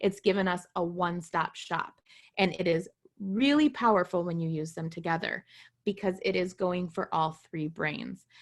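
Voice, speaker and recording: Recorded very cleanly against a silent background, a woman speaks at a moderate pace in a fairly low voice with ordinary pitch variation. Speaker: essential oils seller and presenter. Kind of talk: product presentation. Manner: loud; lively.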